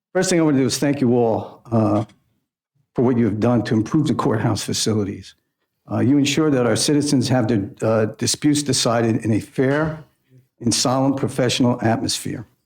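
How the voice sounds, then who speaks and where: With an unremarkable speaking voice, a man talks fairly quickly at medium pitch, using ordinary pitch variation. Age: 60s. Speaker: judge. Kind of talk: formal address. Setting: public meeting.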